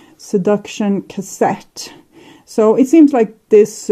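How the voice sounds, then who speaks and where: A woman speaks very slowly in a dark, mellow tone. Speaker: tarot reader. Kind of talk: tarot reading. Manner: halting.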